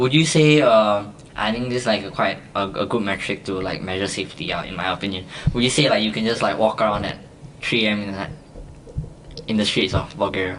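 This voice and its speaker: A man with a Singaporean accent talks very fast at a fairly low pitch, with ordinary pitch variation over noticeable background noise. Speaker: podcast guest, student. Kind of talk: casual chat.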